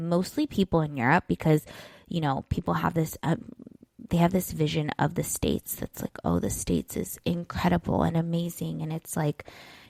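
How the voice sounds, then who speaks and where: A woman with a Southern Californian accent is heard in a very clean recording with a silent background and a dry, close sound with no echo. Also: moderate pace. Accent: Valley girl. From US West Coast, San Diego, California. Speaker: life coach and podcast host. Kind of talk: solo podcast monologue. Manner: casual, filler-heavy (like, you know).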